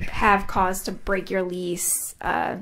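Vocal fry runs through the voice, with light background noise behind it. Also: woman. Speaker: witness. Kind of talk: testimony explaining a bill. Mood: calm, professional. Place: hall. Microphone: podium.

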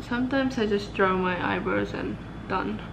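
A woman speaking with music in the background. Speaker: student vlogger. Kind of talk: casual vlog chat. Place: home room. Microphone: phone near.

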